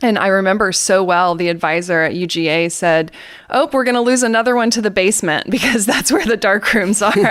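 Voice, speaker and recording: A woman's medium-pitched voice with an American accent, ordinary pitch variation, very even loudness and a fairly quick pace. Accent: Southern US, comes out occasionally. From US South, Atlanta, Georgia. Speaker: photographic artist. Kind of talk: interview. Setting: podcast.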